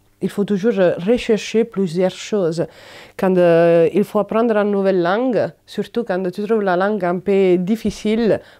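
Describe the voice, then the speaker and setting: Fairly slow speech from a woman at a medium pitch, with fairly even intonation and a dark, mellow tone over a quiet background. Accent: Italian. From Italy. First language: Italian (speaking French). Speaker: migrant volunteer. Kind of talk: personal testimony interview. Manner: halting, many hesitations.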